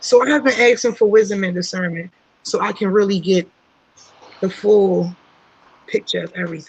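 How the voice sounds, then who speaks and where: Long, frequent pauses break up this woman's speech. She talks at a moderate pace with ordinary pitch variation. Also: medium pitch for a woman. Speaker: aspiring motivational speaker. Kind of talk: casual group chat on a livestream. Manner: halting, many fillers.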